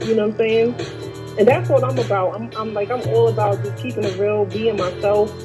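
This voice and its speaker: With music in the background, a woman with a very deep, low pitch talks at a fairly quick pace, her pitch swinging very widely. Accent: New York. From Brooklyn, New York. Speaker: singer-songwriter. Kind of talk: interview answer. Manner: casual.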